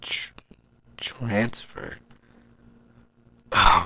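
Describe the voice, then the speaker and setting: A man puts on a raspy character voice at medium pitch. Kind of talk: audio drama narration. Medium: audio drama. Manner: anxious, hesitant.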